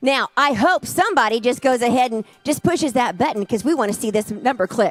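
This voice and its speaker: A woman with a high pitch, lively intonation and an animated tone at a fairly quick pace, music in the background, in a dry, close sound with no echo. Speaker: charity auctioneer. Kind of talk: live auction calling.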